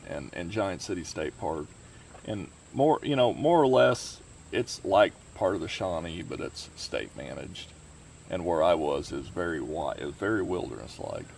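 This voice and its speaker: A man with a Southern Illinois accent, a very deep, low pitch, very wide pitch swings, and a moderate pace. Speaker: hiking YouTuber and emergency management specialist. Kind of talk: casual interview.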